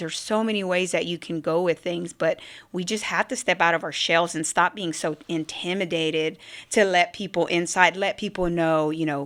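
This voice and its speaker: A woman with an American accent at a fairly quick pace, in a very clean recording with a silent background. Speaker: business owner and military veteran. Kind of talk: podcast interview. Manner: fast.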